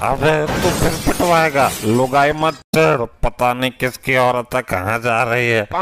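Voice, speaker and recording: A man performs a cartoonish character voice at medium pitch and a moderate pace. His pitch varies in an ordinary way, with music in the background. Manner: rustic, jokey.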